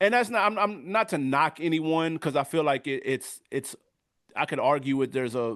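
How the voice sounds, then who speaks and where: A man with an American accent and a normal speaking voice, ordinary pitch variation and a moderate pace over a quiet background. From US South. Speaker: music review YouTuber. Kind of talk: casual interview chat.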